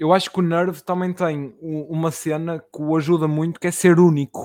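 The man's voice sits at a high pitch, with fairly even intonation. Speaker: podcast host and rapper. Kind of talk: casual interview.

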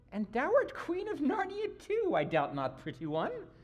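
A put-on character voice, female-sounding and extremely high in pitch, delivered at a moderate pace. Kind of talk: archaic. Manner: coaxing, half-mocking.

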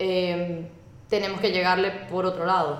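A woman with a Venezuelan accent talks at a moderate pace in a medium pitch. Noticeable background noise and audible room echo are present. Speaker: communications specialist. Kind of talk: casual chat. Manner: animated.

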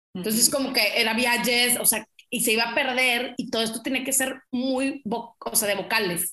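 A woman speaks at a high pitch and a moderate pace, with hardly any pauses. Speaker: travel agency owner. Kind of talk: casual interview.

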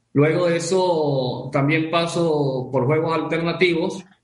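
Audible room echo around a man's fairly high-pitched speech, fairly even in intonation. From Venezuela. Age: 30s. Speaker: professional poker player and gamer. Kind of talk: casual interview.

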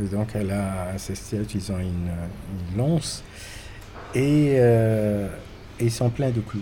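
A man with a fairly low pitch speaks very slowly, with long, frequent pauses and ordinary pitch variation. Audible room echo fills the recording. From Morocco. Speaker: painter. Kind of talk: interview. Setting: hotel. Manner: halting.

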